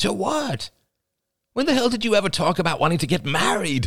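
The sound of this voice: A man's put-on character voice, high-pitched and fairly bright, with vocal fry, big pitch swings and a fairly quick pace.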